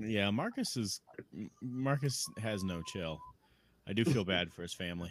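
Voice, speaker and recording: Speaking with an American accent, a man uses a fairly low pitch and lively intonation at a moderate pace, leaving long, frequent pauses. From Chicago, US Midwest. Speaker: podcast host. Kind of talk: casual chat.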